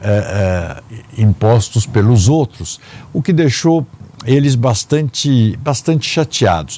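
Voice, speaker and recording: Against noticeable background noise, a man talks at a very slow pace and medium pitch, with very even loudness and lively intonation. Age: 60s. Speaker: family business heir and public administrator. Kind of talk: interview. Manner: halting with fillers.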